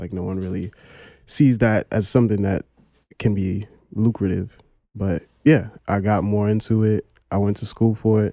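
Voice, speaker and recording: With a New York accent, a man speaks at a moderate pace in a fairly low, dark, mellow voice, his intonation fairly even and broken by long, frequent pauses, in a dry, close sound with no echo. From Brooklyn, New York. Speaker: historian. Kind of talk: casual chat.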